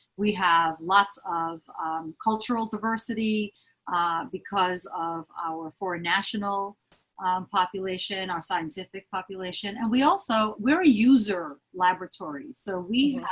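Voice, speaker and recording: A woman with a New York accent and a medium pitch, ordinary pitch variation, dry and close with no echo. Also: moderate pace. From Lower East Side, Manhattan, New York. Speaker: HR business partner. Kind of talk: interview answer.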